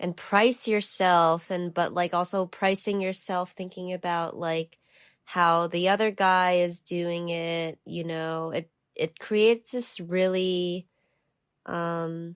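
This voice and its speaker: A woman with a New Jersey accent speaks very slowly in a fairly low pitch and monotone, flat intonation. The recording is very clean, with a silent background. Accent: New Jersey American English. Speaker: artist. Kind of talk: podcast interview answer.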